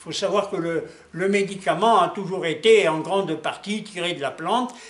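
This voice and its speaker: In a room with audible echo and noticeable background noise, a man with a high voice talks at a moderate pace with ordinary pitch variation. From Alsace, France. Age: 80s+. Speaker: laboratory owner, chemist. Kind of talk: interview. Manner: hesitant, many fillers.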